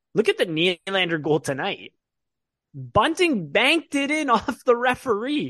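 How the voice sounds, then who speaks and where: Raising and projecting his voice, a man speaks at a high pitch with a bright, sharp tone and very wide pitch swings, in a dry, close sound with no echo. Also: fairly slow pace. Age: 20s. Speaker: hockey podcast host. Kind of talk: casual chat.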